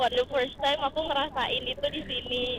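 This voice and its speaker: Against noticeable background noise, a woman with a high voice speaks fairly slowly. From Manado, North Sulawesi. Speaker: student, motorbike taxi passenger. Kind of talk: casual chat.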